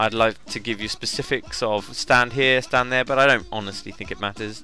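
A man talks at a moderate pace over background music, his medium pitch held in a fairly even intonation. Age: 20s. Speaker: video game guide maker. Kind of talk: casual game walkthrough commentary. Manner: light-hearted.

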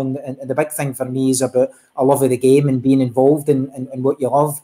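A man with a Glaswegian accent speaks at a fairly quick pace and a fairly high pitch. His tone is dark and mellow, his intonation monotone and flat. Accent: Glaswegian Scottish. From Scotland, East End of Glasgow. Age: 40s. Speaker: football referee. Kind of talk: interview. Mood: earnest, reflective. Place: home room.

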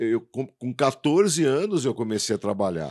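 A man at a moderate pace and medium pitch against a quiet background. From São Paulo, Brazil. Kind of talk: interview. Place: studio. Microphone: studio mic.

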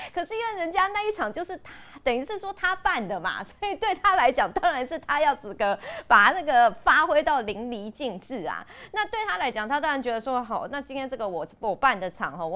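This woman's high voice swings very widely in pitch. She talks at a fairly quick pace. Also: big swings in loudness. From Taiwan. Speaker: party spokesperson. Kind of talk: panel discussion. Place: studio.

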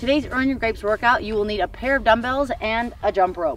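A woman speaks in a dry sound with no echo. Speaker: fitness coach. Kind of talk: tutorial. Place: open country.

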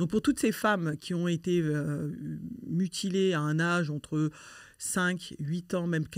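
A woman with an ordinary speaking voice, fairly low in pitch with ordinary pitch variation, on a very clean recording with a silent background. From France (born in Mali, arrived as a toddler). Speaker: association president, activist against female genital mutilation. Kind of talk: conversational interview.

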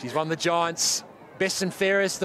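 A high-pitched man with an Australian accent, at a moderate pace with ordinary pitch variation, over noticeable background noise. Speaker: sports commentator. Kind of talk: live sports commentary. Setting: stadium match broadcast.

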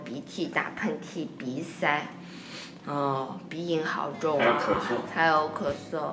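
A woman speaks very slowly in a nasal, hoarse voice. There is light background noise. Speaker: vlogger. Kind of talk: casual vlog chat. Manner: hoarse, congested nasal voice from a cold. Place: home room. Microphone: phone near.

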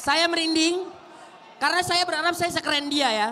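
An excited, animated man speaks at a moderate pace. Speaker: commentator. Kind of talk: live commentary. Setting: boxing event broadcast. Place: stadium. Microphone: handheld.

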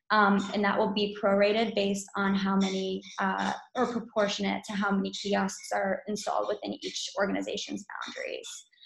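Against a quiet background, a woman's voice comes with audible room echo. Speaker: company representative. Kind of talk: presentation. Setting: video call. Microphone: video call.

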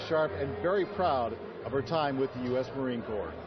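A man keeps up a fairly quick pace while noticeable background noise carries on around him. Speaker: TV news reporter. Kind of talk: TV news report narration. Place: hall. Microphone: handheld.

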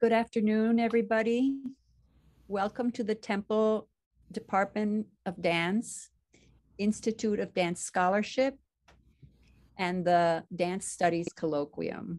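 A woman's medium-pitched voice at a fairly slow pace, with ordinary pitch variation, long, frequent pauses, and a quiet background. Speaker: university department host. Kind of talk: formal welcome and introductions. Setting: video call webinar. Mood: warm, formal. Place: home room.

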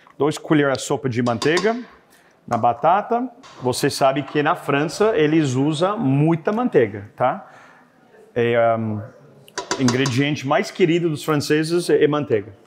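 Pitched fairly high, a man speaks at a fairly slow pace with long, frequent pauses and very wide pitch swings, amid noticeable background noise. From Canada. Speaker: chef and restaurant owner; guest. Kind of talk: cooking demonstration. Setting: studio. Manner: halting, with frequent fillers. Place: kitchen.

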